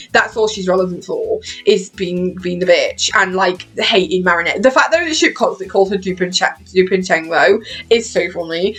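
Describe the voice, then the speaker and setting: A woman with a British accent talks at a moderate pace in a medium pitch. Her intonation is lively, with music in the background. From Britain. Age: 20s. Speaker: YouTuber. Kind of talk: casual chat. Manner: animated.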